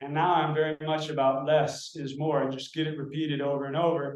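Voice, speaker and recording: Speaking at a moderate pace with an American accent, a man has a fairly high pitch, and audible room echo surrounds his voice. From United States. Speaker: meditation practitioner. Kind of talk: casual interview conversation. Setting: video call.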